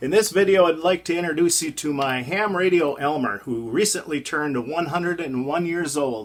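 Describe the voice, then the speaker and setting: Lively intonation marks this man's high-pitched speech in an Upper Midwest accent. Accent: Upper Midwest American. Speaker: ham radio hobbyist vlogger. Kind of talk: casual vlog narration.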